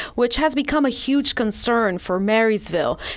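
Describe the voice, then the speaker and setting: Against noticeable background noise, a woman with a fairly high pitch talks at a moderate pace. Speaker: TV news reporter. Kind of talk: TV news package narration.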